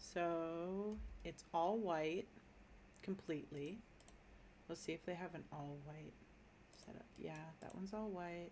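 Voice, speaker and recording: An American accent, fairly even intonation, long and frequent pauses, and audible room echo. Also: woman, fairly low pitch for a woman. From Minnesota, US. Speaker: gaming streamer. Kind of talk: casual live-stream commentary. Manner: casual, thinking aloud with fillers.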